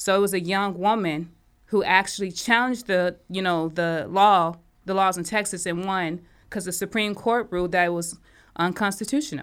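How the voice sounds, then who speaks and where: With an ordinary speaking voice, a woman talks at a medium pitch and moderate pace, her pitch varying in an ordinary way. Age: 30s. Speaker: podcast co-host. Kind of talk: casual chat.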